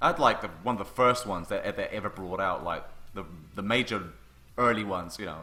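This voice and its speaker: A man with a bright, sharp tone at a fairly quick pace. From London. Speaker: cartoonist and drawing teacher, livestream host. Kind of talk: casual livestream chat while drawing. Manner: animated.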